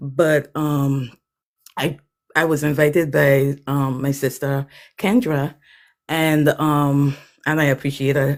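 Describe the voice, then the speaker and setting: A woman with a Virgin Islands accent, very deep and low in pitch, in a flat monotone at a very slow pace with long, frequent pauses, on a very clean recording with a silent background. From US Virgin Islands, Saint Thomas. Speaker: author, artist and former teacher. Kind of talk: livestream self-introduction. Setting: livestream.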